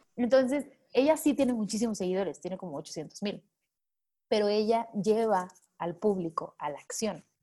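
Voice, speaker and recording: A woman with a dark, mellow tone speaks at a fairly high pitch and a moderate pace, her intonation lively. Her loudness swings widely. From Mexico, Manzanillo, Colima. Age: 20s. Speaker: public relations consultant. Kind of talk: interview.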